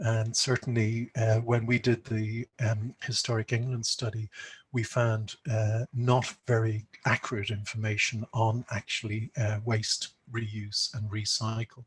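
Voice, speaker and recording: A man at medium pitch, monotone and flat, somewhat breathy and fairly slow, in a dry, close sound with no echo. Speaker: conservation speaker. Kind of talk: conference presentation.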